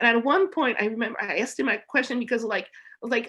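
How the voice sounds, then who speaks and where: Against a quiet background, a woman with a French accent speaks at a fairly high pitch in a bright, sharp tone. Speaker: music journalist. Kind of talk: casual chat.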